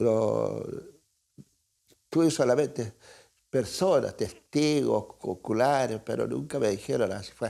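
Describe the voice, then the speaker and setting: A man speaks very slowly, with long, frequent pauses. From southern Chile, Araucanía region. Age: 80s+. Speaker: writer. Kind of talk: interview. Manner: halting, many hesitations.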